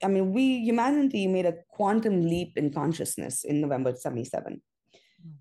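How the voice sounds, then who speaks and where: With a dark, mellow tone at a medium pitch, a woman speaks at a moderate pace, her pitch swinging very widely and her loudness rising and falling sharply. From India (Mumbai). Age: 40s. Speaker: astrologer. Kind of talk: interview.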